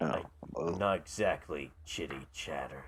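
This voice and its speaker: Putting on a character voice, a man talks at a fairly slow pace in a very deep, low pitch. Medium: actual play. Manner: curt, surly.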